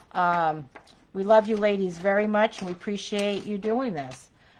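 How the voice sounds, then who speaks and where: A woman talks at a moderate pace and a medium pitch. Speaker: craft group host. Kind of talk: live craft tutorial. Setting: live video stream.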